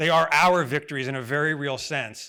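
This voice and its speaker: A man with an American accent and a fairly high pitch speaks in a bright, sharp tone on a very clean recording with a silent background. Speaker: advocacy group president. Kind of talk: conference speech. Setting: stage with audience. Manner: fast.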